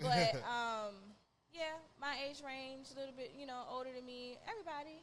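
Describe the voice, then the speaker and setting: Noticeable background noise and audible room echo surround a woman with a high pitch. She speaks at a moderate pace with ordinary pitch variation. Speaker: musician. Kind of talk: interview.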